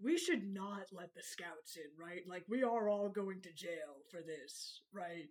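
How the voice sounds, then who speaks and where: This is a put-on character voice at a middle pitch. It runs on with hardly any pauses. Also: fairly slow pace. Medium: actual play. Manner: hasty, anxious bluffing.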